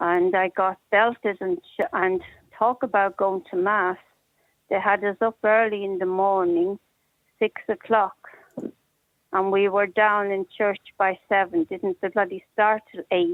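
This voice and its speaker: With a Dublin accent, a woman speaks at medium pitch and a fairly slow pace in a monotone, flat intonation. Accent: Dublin Irish. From Ireland, Dublin. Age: 60s. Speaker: caller, institution survivor. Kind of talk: personal testimony on talk radio.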